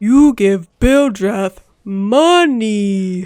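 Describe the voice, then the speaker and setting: A put-on character voice with a fairly high pitch. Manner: grating, whiny, demanding.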